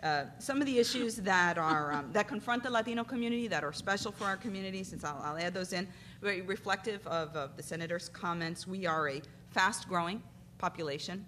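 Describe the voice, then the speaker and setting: Over light background noise, a woman with an unremarkable speaking voice talks fairly quickly at medium pitch with lively intonation. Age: 40s. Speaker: civil rights lawyer. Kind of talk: conference panel talk. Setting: stage with audience. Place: hall. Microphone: podium.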